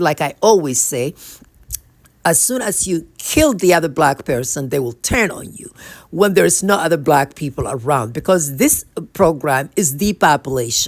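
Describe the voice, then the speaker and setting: A woman with a very deep, low pitch and a non-native accent, with lively intonation and big swings in loudness. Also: moderate pace. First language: not English. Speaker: spiritual speaker. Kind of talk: religious talk to camera. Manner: halting, self-correcting.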